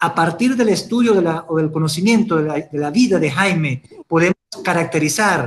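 A man speaks at a fairly slow pace. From Venezuela (Ciudad Bolívar); Venezuela. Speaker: audience member asking questions; audience member. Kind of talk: audience question. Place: home room. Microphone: webcam.

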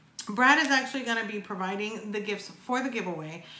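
Audible room echo surrounds a woman speaking. Her pitch varies in an ordinary way. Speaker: vape reviewer vlogger. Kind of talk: casual vlog chat. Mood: grateful, upbeat. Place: home room.

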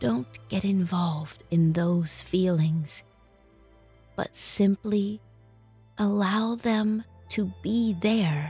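With music in the background, a woman at medium pitch speaks at a very slow pace, with long, frequent pauses and lively intonation. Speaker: meditation guide. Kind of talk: guided meditation.

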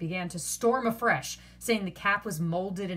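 This plain reading aloud carries ordinary pitch variation.

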